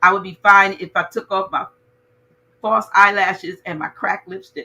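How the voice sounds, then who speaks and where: Her tone animated, a woman speaks at a medium pitch and a moderate pace. Her loudness swings widely. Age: 60s. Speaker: talk show host. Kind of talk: casual chat.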